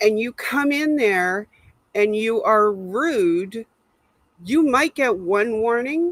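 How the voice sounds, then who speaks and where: A plain, everyday voice with lively intonation comes through with a dry, close sound and no echo. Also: woman. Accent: Canadian. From Canada. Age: 60s. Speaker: livestream host. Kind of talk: casual livestream chat.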